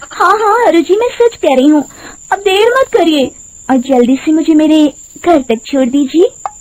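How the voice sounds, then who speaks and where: In a put-on character voice pitched extremely high, a woman cackles at a moderate pace over light background noise. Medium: cartoon. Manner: honeyed then cackling.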